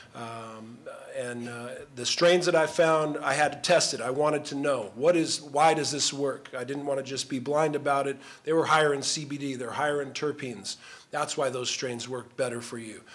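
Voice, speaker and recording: A man with an American accent talks at a moderate pace, fairly high pitch and fairly even intonation, in a normal speaking voice. His loudness swings widely. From Southern California. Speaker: former pro football player. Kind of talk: panel discussion. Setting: stage with audience.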